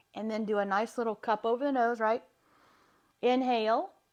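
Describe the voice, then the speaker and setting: In a Southern US accent, the speech moves at a moderate pace over a quiet background. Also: woman. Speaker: wellness practitioner. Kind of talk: live stream talk. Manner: animated.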